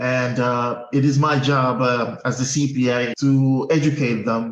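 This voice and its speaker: Heard with audible room echo, a man of medium pitch talks in a monotone, flat way. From Guinea-Bissau. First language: Portuguese. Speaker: accountant. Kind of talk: interview.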